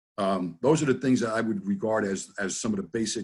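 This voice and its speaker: Talking at a very fast pace, a man with a New Jersey accent keeps a medium pitch. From US, New Jersey. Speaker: NLP trainer and business consultant. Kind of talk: interview in a webinar. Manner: casual, conversational.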